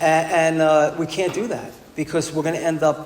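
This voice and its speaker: A man with a New York accent and a fairly high pitch is heard over noticeable background noise, with audible room echo. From New York City (Bronx). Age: 60s. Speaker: recovery speaker. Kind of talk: testimony. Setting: stage with audience. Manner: animated.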